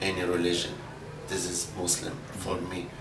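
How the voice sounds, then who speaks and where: With an Arabic accent, a man with a very deep, low pitch talks at a fairly slow pace amid audible room echo and noticeable background noise. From Libya. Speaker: adult English learner. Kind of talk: classroom interview. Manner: halting, many fillers.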